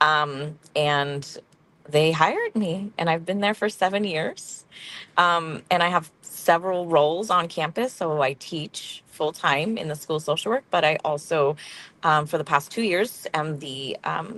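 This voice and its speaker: A woman with an American accent and a plain, everyday voice, fairly low in pitch with ordinary variation, at a fairly slow pace. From central coast California, rural. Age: 40s. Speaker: social work professor. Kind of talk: interview.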